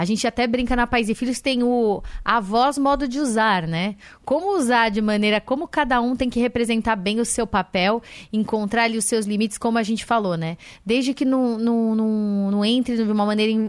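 Against a quiet background, a woman with a normal speaking voice talks at a moderate pace. Her pitch is fairly high and varies in an ordinary way. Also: very even loudness. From São Paulo. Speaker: parenting magazine editor. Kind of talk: radio interview.

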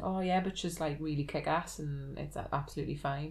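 The voice carries vocal fry. Its intonation stays fairly even. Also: woman. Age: 30s. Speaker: gaming podcast guest. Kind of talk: casual chat.

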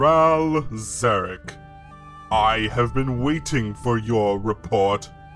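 A man's put-on character voice at medium pitch and a very slow pace, with clear music in the background. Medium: audio drama. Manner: imperious, formal.

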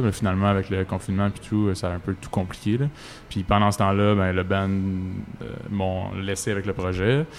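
The man has an ordinary speaking voice pitched fairly low. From Quebec, Laurentides. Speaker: singer-songwriter. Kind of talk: casual interview. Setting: outdoors in a park.

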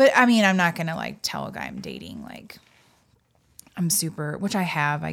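A woman with a fairly low pitch, vocal fry and lively intonation, on a very clean recording with a silent background. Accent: American. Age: 30s. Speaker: comedian and podcast co-host. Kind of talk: casual chat. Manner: animated.

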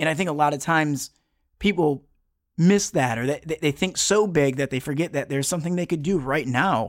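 In a very clean recording with a silent background, a man with an American accent and a plain, everyday voice speaks at a fairly quick pace, his fairly high pitch showing ordinary variation. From Metro Detroit, Michigan. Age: 30s. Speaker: television producer and motivational speaker. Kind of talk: casual interview chat.

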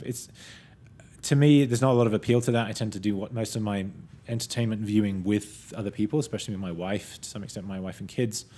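In a British accent, a dark, mellow voice races along at a very fast pace on a very clean recording with a silent background. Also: man. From Britain. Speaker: tech podcast host and analyst. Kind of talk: casual discussion podcast.

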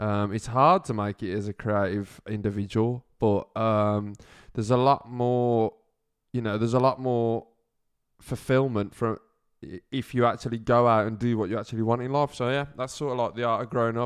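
Against a quiet background, a man with a British accent talks at medium pitch and a moderate pace, his intonation fairly even. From UK. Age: 20s. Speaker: podcast host. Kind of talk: casual monologue.

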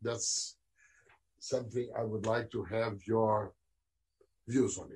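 Somewhat breathy and monotone with flat intonation, the speech moves at a very slow pace with long, frequent pauses. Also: man, medium pitch for a man, big swings in loudness. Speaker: former diplomat, panelist. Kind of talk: panel discussion, asking questions.

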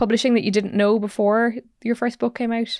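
In an Irish accent, a woman talks at a very fast pace with a fairly high pitch and monotone, flat intonation, in a dry, close sound with no echo on a very clean recording with a silent background. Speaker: podcast host. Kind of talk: interview.

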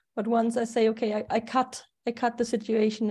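A woman with a German accent speaks in a fairly high pitch and a dark, mellow tone. Her intonation is monotone and flat, and the background is quiet. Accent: German accent, persistent. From Germany. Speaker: astrologer. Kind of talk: casual chat.

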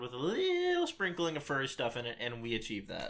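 Using a normal speaking voice, a man talks at a fairly quick pace with a fairly high pitch. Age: 20s. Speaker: podcast host. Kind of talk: casual chat.

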